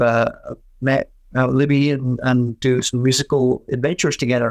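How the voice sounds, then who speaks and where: A man's medium-pitched, flat monotone with a slight Scottish accent, the sound dry and close with no echo. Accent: faint Scottish. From Scotland, Stirling (born Glasgow). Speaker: folk musician. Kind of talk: interview.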